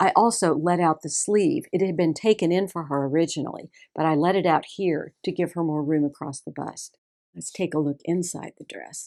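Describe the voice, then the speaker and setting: With a Texas accent, a woman speaks at a moderate pace in a dark, mellow tone and fairly low pitch, showing ordinary pitch variation and big swings in loudness on a very clean recording with a silent background. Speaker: seamstress. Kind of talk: tutorial.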